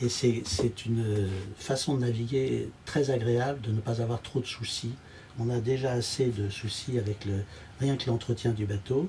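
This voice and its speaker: A man's somewhat breathy voice with a dark, mellow tone amid noticeable background noise. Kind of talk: casual tour commentary. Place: boat.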